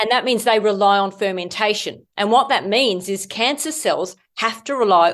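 The intonation is lively over a quiet background. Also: woman. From Australia. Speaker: medical doctor and author. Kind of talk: interview, explanatory health talk.

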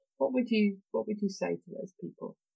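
A woman talks with a British accent. Her voice is somewhat breathy. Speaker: podcast host. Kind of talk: interview.

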